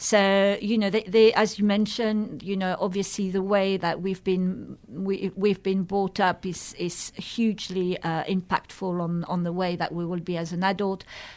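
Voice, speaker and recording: Speaking in a French accent, a woman uses medium pitch with monotone, flat intonation at a moderate pace. She leaves hardly any pauses, on a very clean recording with a silent background. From France. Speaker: charity chief executive. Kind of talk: radio interview. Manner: halting, with many repetitions.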